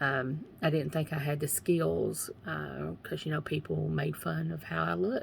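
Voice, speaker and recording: With an Eastern Kentucky accent, a woman speaks at a moderate pace. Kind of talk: faith testimony livestream. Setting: live video from home. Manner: casual, repetitive.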